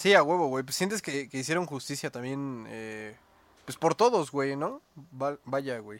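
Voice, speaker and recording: On a very clean recording with a silent background, a man with a Mexican accent speaks at a fairly slow pace in a fairly high pitch, with lively intonation and big swings in loudness. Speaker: podcast host. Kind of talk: casual chat.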